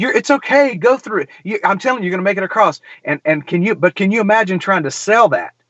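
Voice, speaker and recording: A man with an American accent talks at a very fast pace in a high pitch. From US South, middle Georgia. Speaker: podcast host and singer-songwriter. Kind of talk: casual interview conversation.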